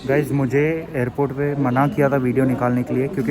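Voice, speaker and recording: Over noticeable background noise, a man speaks at a medium pitch with ordinary pitch variation and a moderate pace. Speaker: travel vlogger. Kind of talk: casual vlog narration. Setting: airport. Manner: soft-spoken, speaking quietly.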